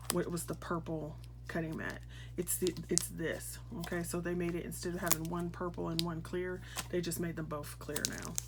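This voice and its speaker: A quiet woman's voice at a moderate pace, with audible room echo. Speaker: crafting YouTuber. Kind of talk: unboxing video. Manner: quiet, hushed; casual, chatty.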